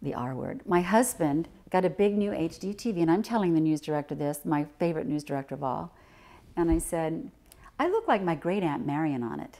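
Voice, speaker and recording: A woman speaks fairly quickly with a fairly low pitch, lively intonation and a dark, mellow tone. The recording is very clean, with a silent background. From US Midwest, Indiana. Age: 60s. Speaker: retired TV journalist and speech coach. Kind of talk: interview storytelling. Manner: animated.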